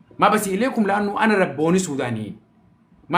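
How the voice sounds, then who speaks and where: Speaking in an animated tone, a man with a high pitch shows ordinary pitch variation. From Sudan, Omdurman. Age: 40s. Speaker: social media personality. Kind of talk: casual live-stream monologue.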